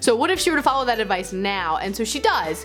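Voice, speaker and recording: With music playing in the background, a woman talks at a fairly quick pace in a fairly high pitch. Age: 20s. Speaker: booktuber and creative writing teacher. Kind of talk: casual talk to camera.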